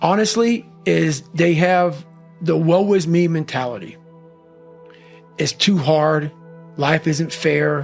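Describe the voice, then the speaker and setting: A man's fairly high voice, very slow with long, frequent pauses and ordinary pitch variation, music in the background. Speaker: motivational speaker. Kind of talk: interview answer. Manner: raw, unapologetic, blunt.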